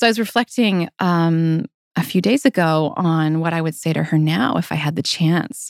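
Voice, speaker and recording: In an ordinary speaking voice, a woman talks at a moderate pace with a fairly low pitch and lively intonation, recorded dry and close with no echo on a very clean track with a silent background. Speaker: podcast host, group practice owner. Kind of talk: casual chat, podcast conversation.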